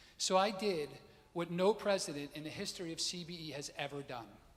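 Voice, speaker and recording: This man's voice sits fairly high in pitch and shows ordinary pitch variation. He talks at a fairly quick pace. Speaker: synagogue president. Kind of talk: fundraising appeal speech. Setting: synagogue service with congregation. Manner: fast; formal.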